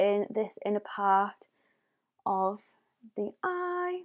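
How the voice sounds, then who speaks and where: Over a quiet background, a woman with a North East England accent and a fairly high pitch sounds animated, with lively intonation. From northeast England. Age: 20s. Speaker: beauty YouTuber. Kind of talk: tutorial. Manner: chatty. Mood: friendly, apologetic at times. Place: home room.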